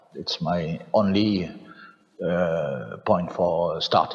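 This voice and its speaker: With a French accent, a man with a very deep, low pitch and ordinary pitch variation talks over noticeable background noise. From France. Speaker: farmer, farm representative. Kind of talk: panel discussion. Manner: halting, many fillers.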